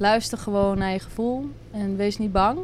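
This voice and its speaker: The pace is moderate as a woman talks. Her intonation is fairly even. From Netherlands, Drenthe. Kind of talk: casual interview.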